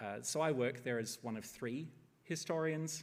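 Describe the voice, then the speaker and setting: Fairly even intonation from a man with an Australian accent. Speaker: historian. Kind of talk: lecture. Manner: hesitant with many fillers.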